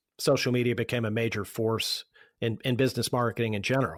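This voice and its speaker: A man with an American accent and an unremarkable speaking voice talks fairly quickly at a medium pitch, in a very clean recording with a silent background. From Pittsburgh, Pennsylvania. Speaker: marketing agency founder. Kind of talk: podcast interview answer.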